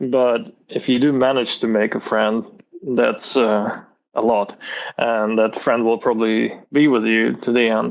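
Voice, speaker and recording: At a fairly slow pace, a man speaks at a medium pitch with monotone, flat intonation and very even loudness. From Azerbaijan (Baku), then Moscow, Russia. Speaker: illustrator and animator. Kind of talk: casual interview chat.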